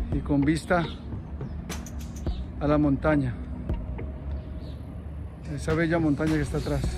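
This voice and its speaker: Clear music plays in the background as a man speaks at a moderate pace. The sound is dry with no echo. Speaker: vlogger touring an abandoned site. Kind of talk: casual vlog chat. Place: open country. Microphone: phone near.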